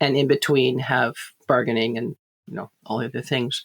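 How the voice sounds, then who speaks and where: A woman is speaking. Her pace is moderate. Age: 70s. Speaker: Tolkien scholar. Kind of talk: casual chat.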